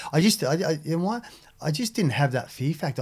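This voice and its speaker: With an Australian accent and lively intonation, this voice comes through on a very clean recording with a silent background. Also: man. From Australia, Sydney (Maroubra). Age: 50s. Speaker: big wave surfer, former drug smuggler. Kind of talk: interview. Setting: studio. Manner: halting.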